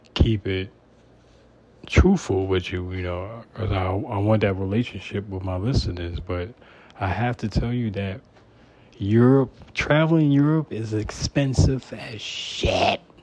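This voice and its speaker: A somewhat breathy man speaks at a fairly slow pace, with a fairly low pitch and ordinary pitch variation. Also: long, frequent pauses. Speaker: podcast host. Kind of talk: personal monologue. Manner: informal, unpolished.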